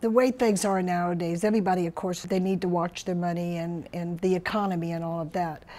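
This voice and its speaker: A woman with an ordinary speaking voice talks at a moderate pace, her pitch medium and her intonation fairly even. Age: 60s. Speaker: patient giving testimonial. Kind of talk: testimony.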